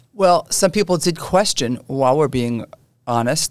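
A woman with a New York accent talks at a fairly quick pace in a very deep, low voice with ordinary pitch variation, on a very clean recording with a silent background. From New York City, Brooklyn (Canarsie). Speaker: interview show host, real estate executive. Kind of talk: interview.

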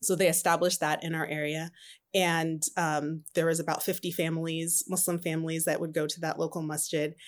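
A woman with an American accent, fairly low in pitch, flat and monotone, at a fairly quick pace, on a very clean recording with a silent background. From Southern California. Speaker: spiritual coach and entrepreneur. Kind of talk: interview.

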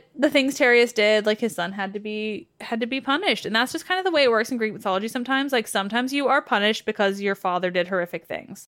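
With hardly any pauses, a woman speaks at a very fast pace, with a fairly high pitch and lively intonation. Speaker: mythology podcaster. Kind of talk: dramatic second-person scary story narration. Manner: enthusiastic, self-interrupting digressions.

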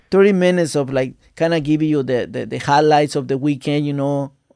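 In a Mexican accent, the speaker talks at a fairly quick pace with a dark, mellow tone and fairly even intonation. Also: man. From Mexico, Veracruz. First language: Spanish. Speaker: jockey. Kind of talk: casual chat.

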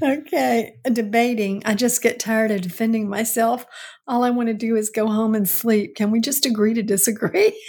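At a moderate pace, a woman talks with a fairly high pitch, a somewhat breathy sound, fairly even intonation and very even loudness. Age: 70s. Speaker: podcast co-host, host's mother. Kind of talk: casual chat.

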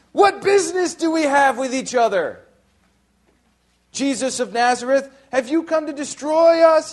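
A man's put-on character voice, shrill and extremely high, at a moderate pace with long, frequent pauses. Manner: crying out, shrieking.

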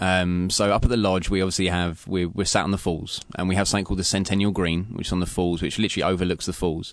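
A man with an English accent speaks at a very fast pace, with hardly any pauses and very even loudness. His very deep, low pitch stays monotone and flat against a quiet background. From England, London. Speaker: chef. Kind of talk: interview. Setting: radio studio.

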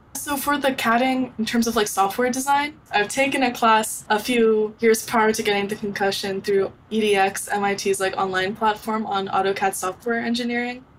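There is noticeable background noise. A woman speaks with a fairly high pitch and fairly even intonation. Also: moderate pace, hardly any pauses. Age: 20s. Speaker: young inventor and entrepreneur. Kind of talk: interview.

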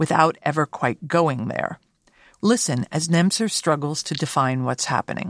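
A woman speaks at a moderate pace with a fairly low pitch. The sound is dry and close with no echo, a very clean recording against a silent background. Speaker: podcast host and art curator. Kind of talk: scripted narration with interview commentary. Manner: formal, measured.

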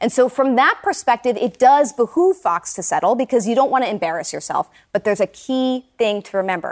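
With a normal speaking voice and lively intonation, a woman talks at a moderate pace in a dry, close sound with no echo. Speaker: media reporter. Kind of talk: TV news interview.

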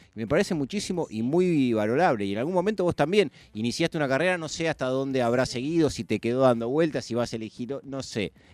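Lively intonation marks this man's medium-pitched voice. He talks very fast with hardly any pauses, and the sound is dry and close with no echo. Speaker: radio host. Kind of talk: radio interview.

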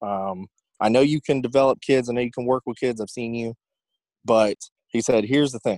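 Speaking in a Southern US accent at a fairly quick pace, the voice keeps its intonation fairly even and takes long, frequent pauses. The sound is dry and close, with no echo. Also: man, medium pitch for a man. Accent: Southern US (Georgia). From US South, Georgia (Newnan, south of Atlanta). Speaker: basketball coach. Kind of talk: casual chat.

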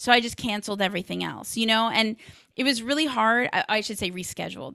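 A woman with an American accent, bright and sharp in tone and energetic and animated, with ordinary pitch variation on a very clean recording with a silent background. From Los Angeles, US. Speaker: tech community founder and podcaster. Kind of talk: interview conversation. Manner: energetic, animated.

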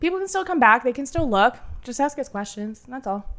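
Fairly bright and nasal, a woman's voice sits high in pitch. She speaks at a fairly quick pace with lively intonation.

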